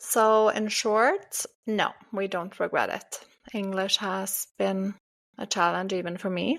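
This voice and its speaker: A woman with a Norwegian accent speaks very slowly at medium pitch with fairly even intonation, on a very clean recording with a silent background. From Norway. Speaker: podcast co-host. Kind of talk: casual chat.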